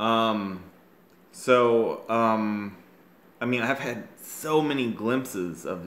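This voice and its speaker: Audible room echo surrounds a man speaking at a fairly low pitch. His pitch varies in an ordinary way. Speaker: vlogger telling personal story. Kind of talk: personal monologue. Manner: slow; halting.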